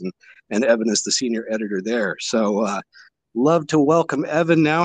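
A man with a normal speaking voice talks at a moderate pace with lively intonation and a medium pitch, recorded in a dry, close sound with no echo. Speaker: podcast host. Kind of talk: casual interview chat.

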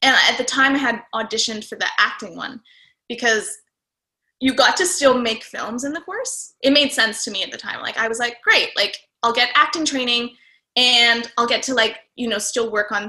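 A woman's high, bright, sharp voice in a Canadian accent, at a moderate pace with ordinary pitch variation. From Calgary, Alberta, Canada. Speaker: actor and director. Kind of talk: casual chat.

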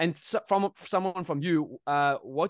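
A man with an unremarkable speaking voice and a fairly high pitch speaks at a moderate pace with lively intonation, in a dry, close sound with no echo. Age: 20s. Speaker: co-host, trader, former rugby player. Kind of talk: casual interview.

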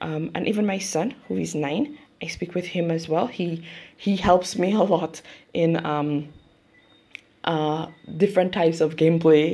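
Pausing long and often, a woman with a Saint Lucian accent speaks at a fairly low pitch in a dark, mellow tone with ordinary pitch variation. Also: fairly slow pace. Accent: St. Lucian English. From St. Lucia. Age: 30s. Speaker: YouTuber and mother. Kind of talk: interview. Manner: halting.

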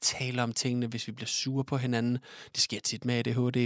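He has a medium-pitched voice. His delivery moves at a moderate pace. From Denmark, Odense. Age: 20s. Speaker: nursing care student. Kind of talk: casual chat.

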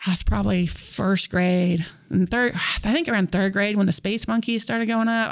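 In an American accent, a woman speaks at medium pitch and moderate pace. Her intonation stays fairly even. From Northwest Kansas. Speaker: teacher. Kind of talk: casual interview. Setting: studio.

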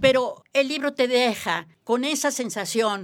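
A high-pitched woman's voice at a very slow pace. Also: very clean recording, silent background. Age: 80s+. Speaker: biologist and environmental expert. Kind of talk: interview.

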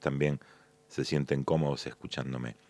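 Recorded with a dry, close sound and no echo, a man speaks with a Rioplatense accent. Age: 60s. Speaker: magician and comedian. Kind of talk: solo monologue podcast.

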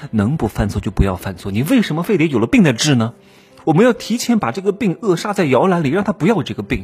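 This man talks at a very fast pace in an animated tone, his pitch swinging very widely. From Anhui, Wuhu (Yangtze Delta). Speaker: podcast host, career advice commentator. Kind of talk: casual advice monologue.

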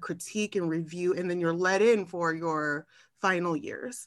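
A woman with a Californian accent and ordinary pitch variation. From Southern California, Long Beach. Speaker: architecture marketing professional and podcaster. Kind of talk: casual interview conversation.

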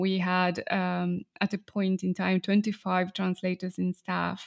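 In a very clean recording with a silent background, a woman speaks with a Spanish accent. Her pitch is medium and her pace fairly slow. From Argentina. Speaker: translation company owner. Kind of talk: interview.

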